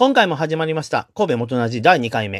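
On a very clean recording with a silent background and a dry, close sound with no echo, a man with a fairly high pitch speaks at a moderate pace, his pitch swinging very widely. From Chugoku region, western Japan. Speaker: podcast host. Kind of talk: solo podcast monologue. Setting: home. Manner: polite, formal.

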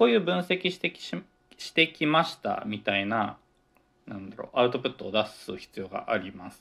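Here a man talks at a moderate pace in a medium-pitched voice. His pitch swings very widely and his loudness shifts in big swings. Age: 20s. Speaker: podcaster, office worker and grad student. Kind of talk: solo casual talk. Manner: rambling, self-correcting.

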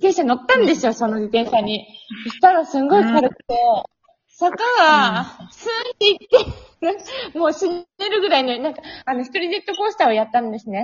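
Speaking at a fairly quick pace, a woman uses a high pitch with very wide pitch swings and big swings in loudness. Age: 20s. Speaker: podcast guest. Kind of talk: casual chat. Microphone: poor audio quality.

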